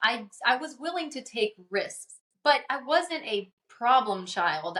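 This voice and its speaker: Speaking in a Portuguese accent, a woman talks at a fairly slow pace with lively intonation. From Amazon region of Brazil, then Louisiana from age ten. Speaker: author and speaker. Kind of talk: podcast interview.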